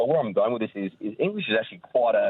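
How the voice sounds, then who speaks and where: This is a man talking. He speaks with an Australian accent. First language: Maltese (learned alongside English). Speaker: caller, electrician. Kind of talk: radio call-in.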